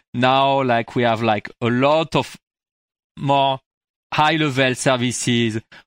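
A man with a French accent, medium pitch, fairly slow pace and fairly even intonation, in a very clean recording with a silent background and a dry, close sound with no echo. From France. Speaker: tech company CEO, software engineer. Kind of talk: interview.

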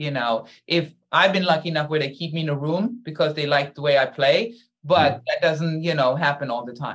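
Her pitch very deep and low, a woman talks with a German accent. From Germany. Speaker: actor. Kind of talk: interview.

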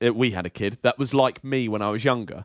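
The sound is dry and close, with no echo. A man talks in a British accent. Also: very clean recording, silent background. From England. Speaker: podcast co-host. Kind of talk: casual chat.

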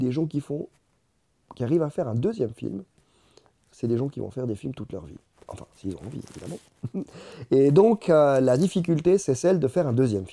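A man with a medium pitch and a dark, mellow tone swings very widely in pitch and shifts greatly in loudness. He leaves long, frequent pauses. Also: fairly quick pace. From Ecuador (Quito), then Lausanne, Switzerland from age 13. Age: 40s. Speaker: documentary filmmaker. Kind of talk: interview. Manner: halting, many repetitions.

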